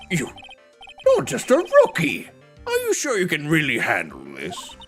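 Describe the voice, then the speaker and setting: With faint music in the background, a woman performs a put-on character voice with big swings in loudness. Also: fairly slow pace. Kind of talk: courtroom speech. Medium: virtual streamer. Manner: hesitant, befuddled.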